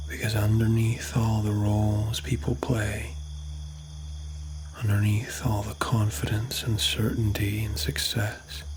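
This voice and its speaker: In a soothing tone, a man with a fairly low pitch speaks at a fairly slow pace with lively intonation over noticeable background noise. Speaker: ASMR sleep talkdown creator. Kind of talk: sleep talkdown, guided relaxation. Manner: soft, slow, soothing.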